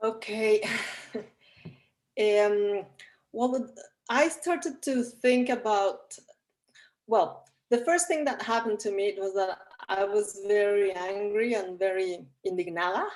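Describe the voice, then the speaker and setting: The speaker goes at a very slow pace with lively intonation and long, frequent pauses. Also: woman, medium pitch for a woman. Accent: Spanish. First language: Spanish. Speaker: documentary film director. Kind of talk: interview answer. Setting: video call. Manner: halting, repeats words.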